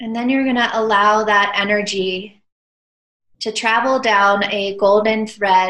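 A woman speaks very slowly at a fairly high pitch. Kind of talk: guided meditation. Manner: slow, hushed, serene and soothing.

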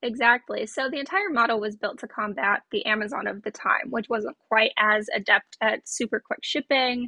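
With hardly any pauses, a woman talks at a fairly high pitch in an ordinary speaking voice. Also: ordinary pitch variation, moderate pace. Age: 20s. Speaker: solutions consultant in fraud prevention. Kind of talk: casual interview.

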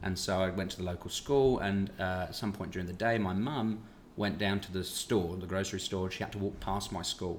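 Speaking fairly quickly with a British accent, a man keeps a fairly low pitch and fairly even intonation. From Britain. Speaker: podcast host, actor. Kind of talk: casual interview chat.

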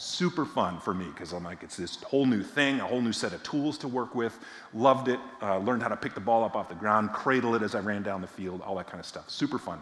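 A man with an American accent talks very fast at a medium pitch, his intonation lively and his loudness swinging widely, with room echo clearly audible. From Massachusetts, near Boston. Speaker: visiting preacher from a justice nonprofit. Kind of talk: sermon.

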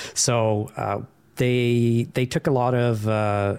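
A man speaks with an American accent. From Sweden. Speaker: podcast guest, framework developer.

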